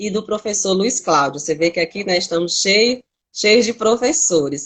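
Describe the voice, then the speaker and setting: The speaker is a woman with an ordinary speaking voice. Her pitch sits at a medium level. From Northeast Brazil. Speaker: teacher and cultural producer hosting a live. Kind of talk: casual live stream chat. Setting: Instagram live video.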